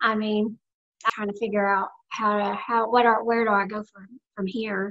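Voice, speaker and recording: A woman with a Southern Appalachian accent, fairly high in pitch, at a moderate pace, with big swings in loudness. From US South, Blue Ridge Mountains. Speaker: near-death experience survivor. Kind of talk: interview testimony.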